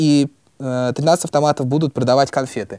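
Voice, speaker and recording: A man's fairly high voice has a dark, mellow tone, recorded with a dry, close sound and no echo. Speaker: student podcaster. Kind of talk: casual discussion of old newspapers.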